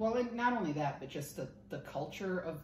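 A woman speaks with lively intonation. Noticeable background noise runs underneath. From Minnesota, US. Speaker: insurance underwriting specialist. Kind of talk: casual interview chat. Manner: laughs often, self-deprecating.

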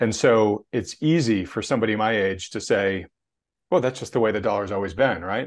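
A man with an ordinary speaking voice talks at a fairly quick pace in a fairly low pitch with ordinary pitch variation, over a quiet background. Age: 50s. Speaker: finance channel host. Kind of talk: casual chat interview.

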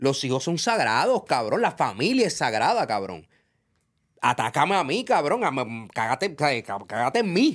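A man with a fairly high pitch speaks at a fairly slow pace in an animated tone with vocal fry. His pitch swings very widely, in a very clean recording with a silent background. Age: 40s. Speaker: reggaeton industry figure. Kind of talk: casual interview. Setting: studio.

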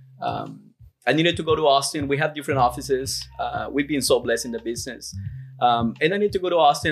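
A man with a Peruvian accent talks at a very fast pace over music in the background. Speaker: roofing company CEO. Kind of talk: casual podcast interview.

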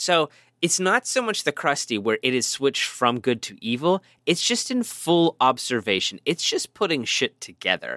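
With vocal fry and a fairly high pitch, a man speaks at a moderate pace, his pitch swinging very widely. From Pittsburgh, US. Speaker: podcast host. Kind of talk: casual comedic movie review chat.

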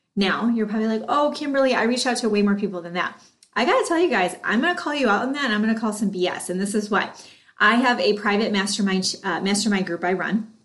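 A woman speaks at a very fast pace in an animated tone. Her pitch varies in an ordinary way. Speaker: podcast host. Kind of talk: solo podcast episode, talking to listeners. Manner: animated, high energy.

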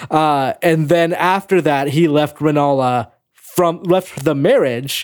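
A man with a plain, everyday voice speaks at a fairly slow pace, his fairly high pitch showing ordinary variation. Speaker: news editor and podcast co-host. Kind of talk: casual chat.

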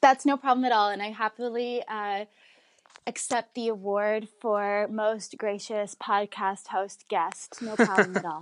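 The speaker talks at a fairly slow pace with an Ontario accent and fairly even intonation. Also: woman, fairly high pitch for a woman. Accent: Canadian (Ontario). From Canada, Woodbridge near Toronto. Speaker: sommelier. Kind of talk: interview.

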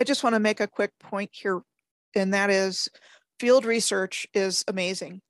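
Against a quiet background, a woman uses an ordinary speaking voice at a medium pitch with fairly even intonation and a moderate pace, in a dry, close sound with no echo. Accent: American. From US, suburban Maryland near Washington D.C. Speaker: history researcher and show host. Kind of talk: casual interview conversation.

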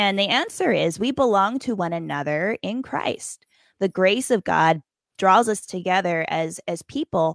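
A woman with an American accent speaks at a fairly slow pace in a plain, everyday voice. Her medium pitch carries lively intonation, and the very clean recording has a silent background and a dry, close sound with no echo. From Appalachia, West Virginia-Virginia border. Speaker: hospice chaplain and author. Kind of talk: interview.

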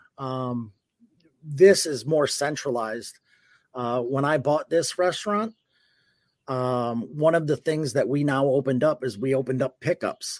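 Here is a man with a plain, everyday voice. He speaks at a fairly slow pace with ordinary pitch variation. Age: 40s. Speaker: personal chef. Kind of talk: casual chat.

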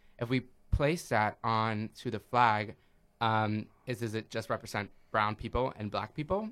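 With a plain, everyday voice, a man speaks at a fairly slow pace, using a medium pitch and fairly even intonation. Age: 30s. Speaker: personal trainer. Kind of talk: casual chat.

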